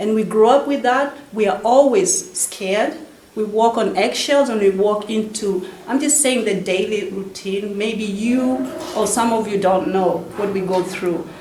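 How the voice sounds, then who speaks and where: A woman talks at a fairly slow pace and a fairly high pitch, with ordinary pitch variation. Audible room echo and noticeable background noise surround her voice. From Africa. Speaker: author. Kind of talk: speech at book launch. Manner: halting.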